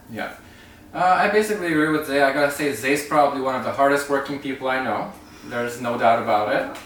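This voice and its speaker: The speech moves at a very fast pace with ordinary pitch variation. Audible room echo and noticeable background noise accompany it. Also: man, fairly high pitch for a man. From Canada (Romanian-born, Hungarian family). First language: Hungarian. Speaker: travel vlogger. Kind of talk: casual chat.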